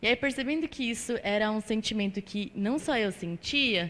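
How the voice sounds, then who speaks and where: A woman's normal speaking voice, fairly high in pitch with ordinary pitch variation and a moderate pace, on a very clean recording with a silent background. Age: 20s. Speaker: chemist, alumna speaker. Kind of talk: testimony talk to audience. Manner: casual, filler-heavy.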